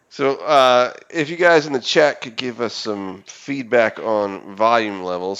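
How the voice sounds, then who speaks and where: Loud and with lively intonation, a man is speaking. His pace is fairly slow. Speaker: game streamer and show host. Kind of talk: casual chat during live game stream. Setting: live online stream.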